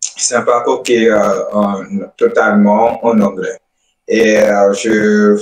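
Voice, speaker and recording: A man at a very slow pace. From Republic of the Congo. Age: 20s. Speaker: scholarship student. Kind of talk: interview. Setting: online live stream. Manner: hesitant, many fillers.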